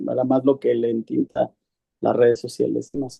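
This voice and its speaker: A man talks at a moderate pace. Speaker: course participant. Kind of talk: class discussion. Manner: halting.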